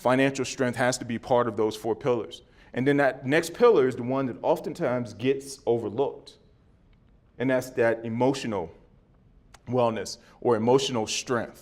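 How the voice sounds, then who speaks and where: In a plain, everyday voice, a man speaks at a moderate pace with fairly even intonation. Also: medium pitch for a man. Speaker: former NFL player and league wellness executive giving a talk. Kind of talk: conference presentation.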